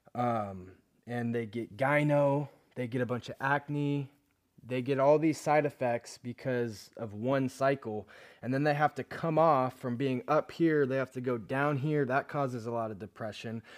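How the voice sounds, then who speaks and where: At a fairly slow pace, a man with a normal speaking voice keeps his intonation fairly even in a very clean recording with a silent background. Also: medium pitch for a man. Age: 20s. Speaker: fitness podcast host. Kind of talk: casual monologue.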